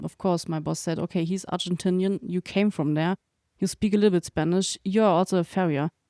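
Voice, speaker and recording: With a German accent, a woman speaks in a fairly low pitch and a dark, mellow tone, her intonation fairly even, in a dry, close sound with no echo on a very clean recording with a silent background. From Germany. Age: young. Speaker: veterinarian and farrier researcher. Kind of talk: interview conversation. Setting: living room.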